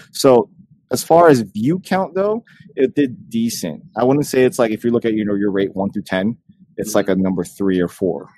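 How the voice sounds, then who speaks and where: A man with an American accent, medium pitch and a dark, mellow tone swings very widely in pitch at a moderate pace, the sound dry and close with no echo. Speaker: podcast co-host. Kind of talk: casual chat.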